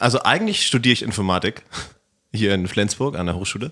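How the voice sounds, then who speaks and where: A man with a fairly low pitch speaks fairly quickly in a bright, sharp tone. His pitch varies in an ordinary way. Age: 20s. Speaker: computer science student and event technician. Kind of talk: casual chat.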